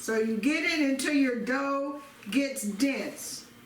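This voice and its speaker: With noticeable background noise and audible room echo, a woman speaks in fairly even intonation. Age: 60s. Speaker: home cooking video host. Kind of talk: cooking tutorial. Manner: casual, repetitive.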